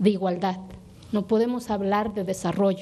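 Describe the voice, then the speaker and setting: A dark, mellow tone with an Oaxacan accent. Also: woman. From Oaxaca, Mexico (Sierra Sur). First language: Zapotec (speaking Spanish). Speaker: legislator. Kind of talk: parliamentary speech.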